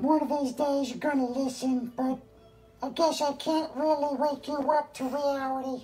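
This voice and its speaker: A woman's high, cartoonish character voice at a moderate pace, with faint music in the background. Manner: conspiratorial, indignant.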